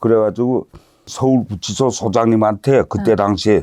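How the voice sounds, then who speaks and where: A man with a plain, everyday voice speaks at a medium pitch and moderate pace, with ordinary pitch variation. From North Korea, Hamhung. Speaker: North Korean defector. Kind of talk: interview storytelling.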